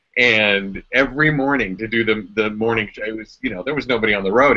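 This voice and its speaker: A man with an American accent talks at a fairly quick pace over a quiet background. He has a plain, everyday voice at medium pitch, with ordinary pitch variation. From Cleveland, Ohio, USA. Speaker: voice actor and audiobook creator; former radio host. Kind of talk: casual talk to camera, live video chat. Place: home room. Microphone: webcam.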